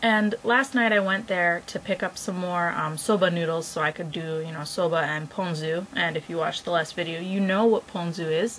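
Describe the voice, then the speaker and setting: A woman with a normal speaking voice talks at a moderate pace in a fairly low pitch, with ordinary pitch variation, hardly any pauses, and light background noise. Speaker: vlogger. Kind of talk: casual vlog chat. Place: home room. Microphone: webcam.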